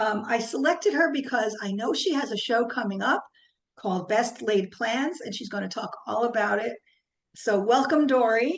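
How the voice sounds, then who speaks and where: Speaking with a slight New Jersey accent, a woman keeps a moderate pace. Her fairly high pitch rises and falls with lively intonation. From New Jersey, US. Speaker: podcast host, nurse. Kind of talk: podcast interview.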